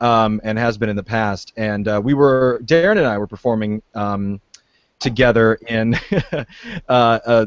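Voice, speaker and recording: In an unremarkable speaking voice, a man with an American accent talks at a moderate pace, his fairly low pitch showing ordinary variation, the sound dry and close with no echo. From Virginia, US. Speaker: actor. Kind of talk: casual chat.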